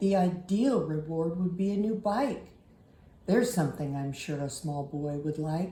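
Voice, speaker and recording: A put-on character voice, gruff and rumbling, at a moderate pace with slight echo. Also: woman, fairly low pitch for a woman. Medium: read story. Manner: gruff, grumbling.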